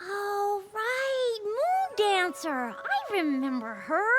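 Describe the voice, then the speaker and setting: A cartoonish character voice, female-sounding and extremely high-pitched, at a very slow pace over loud background noise. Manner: casual, easygoing.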